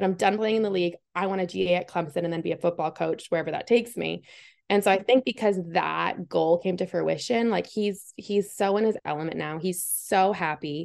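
An ordinary speaking voice from a woman, fairly low in pitch with ordinary variation, at a fairly quick pace with hardly any pauses. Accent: American. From Massachusetts. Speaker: football coach's wife, engineer, author. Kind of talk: interview. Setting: video call.

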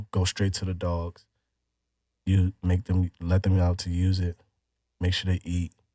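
Speaking with an American accent, a man uses a very deep, low pitch and a dark, mellow tone, somewhat breathy and monotone, flat in intonation, at a fairly slow pace with long, frequent pauses, on a very clean recording with a silent background. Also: dry, close sound with no echo. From Chicago, Illinois. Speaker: former teacher and dog breeder. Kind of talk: casual interview. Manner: hesitant, many fillers.

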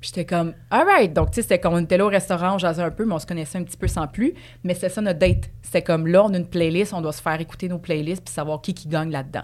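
Over music in the background, a woman in a Quebec accent talks at a very fast pace with a fairly low pitch, fairly even intonation and big swings in loudness. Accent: Québécois French. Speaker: dancer and actress. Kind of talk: casual chat.

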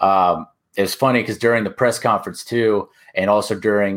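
A man with an American accent and an unremarkable speaking voice talks at a moderate pace and a fairly low pitch. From Orlando, Florida, US. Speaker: basketball podcaster. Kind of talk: casual chat.

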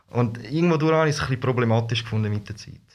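The man's voice is somewhat breathy. Its pitch varies in a normal way. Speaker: costumed street performer. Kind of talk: casual interview. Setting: studio.

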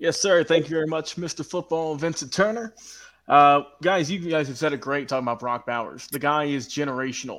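A man with an American accent and an ordinary speaking voice talks at a fairly quick pace in a fairly high pitch with ordinary pitch variation. The recording is very clean, with a silent background. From Georgia, US South. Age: young. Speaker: social media producer. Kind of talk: casual chat.

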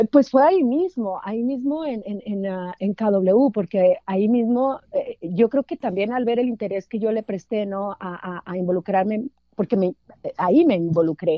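With an unremarkable speaking voice, a woman speaks at a fairly slow pace, her fairly high pitch carried by lively intonation. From Mexico, Durango. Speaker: sports journalist. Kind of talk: interview.

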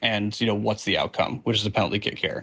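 Over a quiet background, a man's fairly low voice has a bright, sharp tone and a monotone, flat intonation. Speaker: listener sending a hot take. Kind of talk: recorded voice message.

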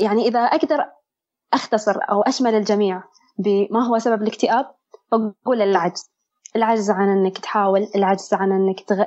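A woman with an ordinary speaking voice talks at a moderate pace in a medium pitch with ordinary pitch variation. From Bahrain. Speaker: medical student sharing mental health experience. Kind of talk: testimony.

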